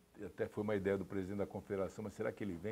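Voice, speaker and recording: The man's pitch sits fairly low. He rushes along at a very fast pace. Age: 60s. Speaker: sports executive. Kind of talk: interview. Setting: TV studio.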